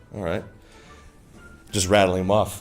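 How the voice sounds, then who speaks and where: Over music in the background, a man speaks at a fairly low pitch with audible room echo. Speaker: game studio dev stream host. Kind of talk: casual interview on livestream.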